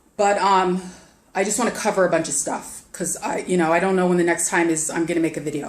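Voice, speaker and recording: A woman's fairly low voice at a very fast pace. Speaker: online investment promoter. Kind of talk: casual vlog sales pitch. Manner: animated, halting with repetitions.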